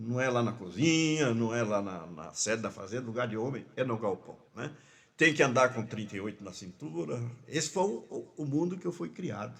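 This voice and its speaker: His pitch swinging very widely around a medium level for a man, a man talks at a moderate pace. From Mato Grosso do Sul, Brazil (Rio Brilhante, ranch). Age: 70s. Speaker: pastor. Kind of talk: interview, life story. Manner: halting, repetitions.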